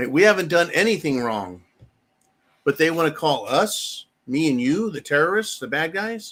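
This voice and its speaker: A high-pitched man with an American accent, lively intonation, big swings in loudness and a moderate pace. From United States. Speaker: political commentary channel host. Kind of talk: political commentary monologue.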